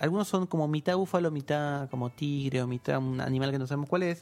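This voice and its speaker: Here a man speaks with fairly high pitch and ordinary pitch variation. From Argentina, provinces outside Buenos Aires. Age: 30s. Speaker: philosopher. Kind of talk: casual chat. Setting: studio.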